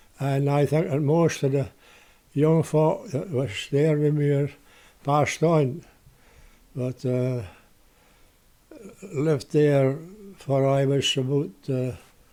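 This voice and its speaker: Fairly slowly and in a dark, mellow tone, a man with a Shetland accent speaks at a fairly high pitch with ordinary pitch variation. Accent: Shetland Scots. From Shetland (Lerwick). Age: 90s. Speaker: retired lighthouse keeper. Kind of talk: interview storytelling. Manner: halting.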